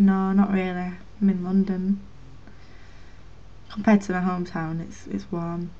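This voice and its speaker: A woman with a Lancashire accent speaks in a dark, mellow tone, her flat, monotone delivery broken by long, frequent pauses. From Northern England. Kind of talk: casual talk to camera.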